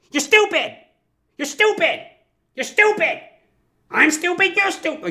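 A put-on character voice, loud and shrill, shouting at an extremely high pitch. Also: moderate pace. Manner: screaming, aggressive.

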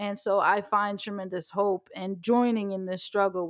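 A woman is speaking at a moderate pace. Her pitch is medium. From US, Ethiopian family. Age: 30s. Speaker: podcast host. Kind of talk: casual interview conversation.

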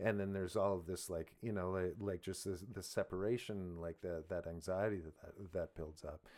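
A man's very deep, low voice at a moderate pace, with fairly even intonation and hardly any pauses. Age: 40s. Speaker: podcast host and musician. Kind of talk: casual chat.

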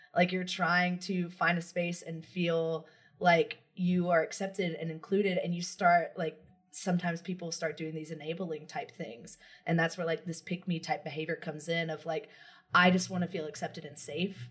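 A woman's fairly low, somewhat breathy voice at a moderate pace, in a monotone, flat intonation. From US South. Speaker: podcast host. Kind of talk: casual chat.

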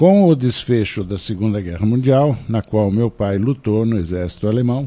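Medium-pitched male speech, dark and mellow in tone, its pitch varying in an ordinary way. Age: 70s. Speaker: psychoanalyst. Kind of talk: radio interview, personal travel story.

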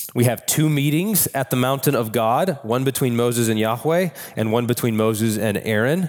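The voice moves at a moderate pace with ordinary pitch variation and very even loudness. Music plays in the background. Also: man, medium pitch for a man. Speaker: pastor. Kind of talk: sermon.

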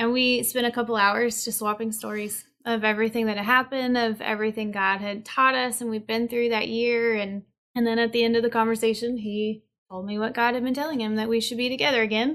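A woman with a Southern US accent speaks fairly quickly in a fairly high voice. Her intonation is flat and monotone, against a quiet background. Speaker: musician and recording artist. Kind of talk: casual interview chat. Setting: online video call.

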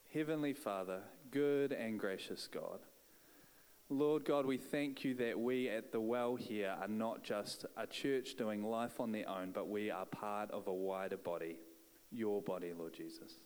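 A man speaks with a New Zealand accent. His pace is fairly slow. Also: medium pitch for a man, ordinary pitch variation. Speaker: church leader. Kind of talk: prayer and introduction. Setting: church.

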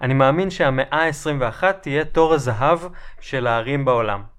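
There is audible room echo around this man's voice. He speaks at a moderate pace with medium pitch. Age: 30s. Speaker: urbanist lecturer. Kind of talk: lecture. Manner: formal.

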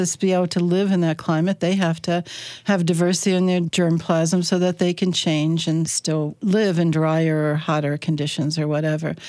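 In an American accent, a woman with an ordinary speaking voice talks at a moderate pace and a fairly low pitch, with fairly even intonation and very even loudness on a very clean recording with a silent background. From US Mid-Atlantic, Chesapeake Bay of Maryland. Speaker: entomology professor. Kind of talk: radio interview.

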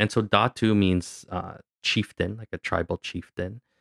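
A man with a Canadian accent speaks at a moderate pace in an unremarkable speaking voice, recorded dry and close with no echo, very clean, over a silent background. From Canada. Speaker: actor, director and musician. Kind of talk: interview. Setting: studio.

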